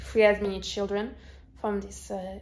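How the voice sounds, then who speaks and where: A woman with a slight French accent talks at a fairly slow pace. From France. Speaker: YouTuber, movie reviewer. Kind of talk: casual vlog review. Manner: hesitant, many fillers.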